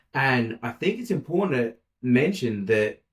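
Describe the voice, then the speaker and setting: A medium-pitched male voice with lively intonation. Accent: Australian. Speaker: podcast co-host. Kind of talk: casual chat. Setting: office. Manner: loud.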